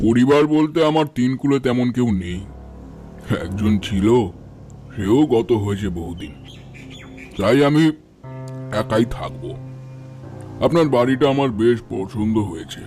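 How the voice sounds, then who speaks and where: Over clear background music, a man uses a put-on character voice at a medium pitch and a moderate pace. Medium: audio drama. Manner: calm, reserved.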